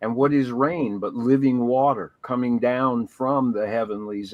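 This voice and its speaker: An unremarkable speaking voice moves at a moderate pace with ordinary pitch variation, recorded dry and close with no echo. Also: man. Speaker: pastor. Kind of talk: podcast conversation, spiritual reflection.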